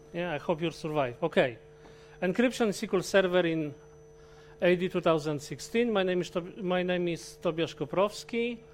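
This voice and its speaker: Music plays in the background as a speaker with a Polish accent talks with ordinary pitch variation. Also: man. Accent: Polish accent, a little Russian-sounding. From Poland. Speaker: IT consultant and trainer, conference speaker. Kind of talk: technical conference talk. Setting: stage with live audience. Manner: halting, with frequent self-corrections.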